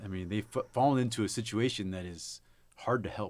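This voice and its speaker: An ordinary speaking voice from a man, fairly low in pitch with ordinary pitch variation, fairly quick, in a very clean recording with a silent background. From South Texas. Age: 30s. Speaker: army veteran, recruiting executive. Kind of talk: casual chat.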